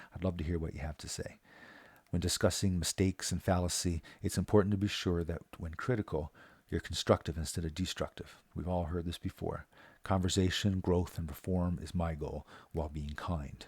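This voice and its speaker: A man speaks at a fairly quick pace with a Newfoundland accent, a very deep, low pitch and fairly even intonation. His somewhat breathy voice has a dry, close sound with no echo on a very clean recording with a silent background. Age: 40s. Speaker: local resident vlogger. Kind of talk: scripted monologue. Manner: halting.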